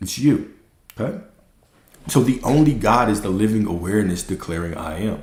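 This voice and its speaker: A man's animated, somewhat breathy voice, fairly low in pitch, with lively intonation, long, frequent pauses and audible room echo. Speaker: spiritual teacher. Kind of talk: livestream talk. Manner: fast.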